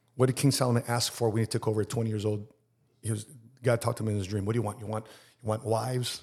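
A man's very fast, somewhat breathy delivery, medium in pitch, monotone and flat in intonation, in a very clean recording with a silent background. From Chicago, Filipino-American family. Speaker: Marine veteran and insurance entrepreneur. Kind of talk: casual interview chat.

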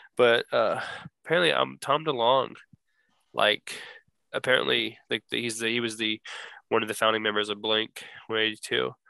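The pauses are long and frequent. Between them, a man talks at a moderate pace. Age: 20s. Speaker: podcast co-host. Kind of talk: casual chat.

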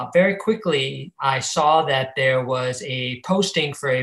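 Speaking with an American accent, a man uses an ordinary speaking voice at a medium pitch with ordinary pitch variation. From Ohio, Cleveland. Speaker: finance professional. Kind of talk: interview.

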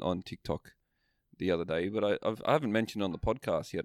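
A man speaks with an Australian accent. It is a very clean recording with a silent background. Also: dry, close sound with no echo. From northern Australia. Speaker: podcast co-host. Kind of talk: casual chat. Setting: video recording.

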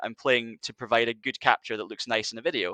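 In a Scottish Highland accent, the speaker goes very fast, with a dry, close sound, no echo and a quiet background. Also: man. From Scottish Highlands. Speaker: video producer. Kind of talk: casual chat.

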